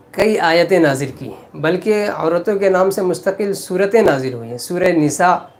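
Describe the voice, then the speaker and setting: A man talks with a high pitch and ordinary pitch variation, noticeable background noise behind him. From India. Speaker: Islamic cleric. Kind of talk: religious sermon.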